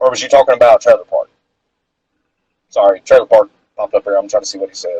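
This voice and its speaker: Talking at a very fast pace, a man with a Southern accent shows big swings in loudness. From North Carolina. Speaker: amateur boxer and interviewer. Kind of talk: casual interview chat. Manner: rambling, filler-heavy.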